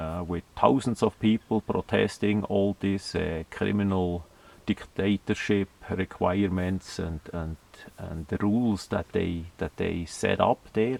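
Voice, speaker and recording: In a dry, close recording with no echo, a man with a Swiss German accent speaks fairly slowly at a very deep, low pitch and with fairly even intonation. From Switzerland, German-speaking. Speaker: video blogger. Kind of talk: monologue commentary. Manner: halting, many fillers.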